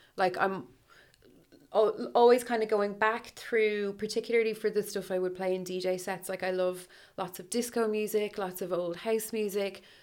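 A woman with an Irish accent at medium pitch, moderate pace and fairly even intonation, on a very clean recording with a silent background. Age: 30s. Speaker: radio DJ. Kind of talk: casual chat.

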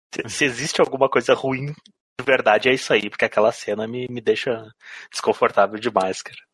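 The voice has a bright, sharp tone, moving at a fairly quick pace with ordinary pitch variation. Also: man. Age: 30s. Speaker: podcast co-host. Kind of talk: casual chat.

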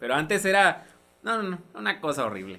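At a moderate pace, a man's high-pitched voice moves through very wide pitch swings. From coastal Mexico. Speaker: podcast host. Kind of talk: casual chat.

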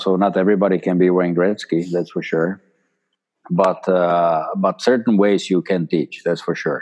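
Speaking in a monotone, a man with a Czech accent has a very deep, low voice. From Czechoslovakia. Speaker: former ice hockey player and player agent. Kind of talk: interview.

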